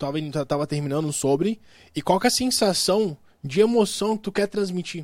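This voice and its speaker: This man speaks at a moderate pace with a high pitch. His intonation is lively. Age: 20s. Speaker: podcast host. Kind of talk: casual chat. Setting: studio.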